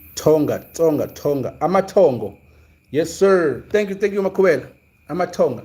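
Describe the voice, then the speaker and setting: This man has a high pitch and a dark, mellow tone. He moves at a moderate pace with ordinary pitch variation. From South Africa, Zulu. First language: Zulu. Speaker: sports commentator, livestream host. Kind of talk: casual livestream chat. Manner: hesitant, many fillers and repetitions.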